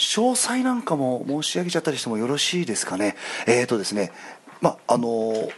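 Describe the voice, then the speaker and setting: This man speaks at a fairly quick pace with lively intonation, at a medium pitch. It is an ordinary speaking voice. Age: 30s. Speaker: stage actor. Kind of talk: casual chat. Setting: restaurant.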